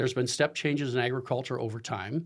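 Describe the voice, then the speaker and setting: Ordinary pitch variation marks a man's speech, delivered at medium pitch in an unremarkable speaking voice. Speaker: agricultural business executive. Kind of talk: radio interview. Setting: studio.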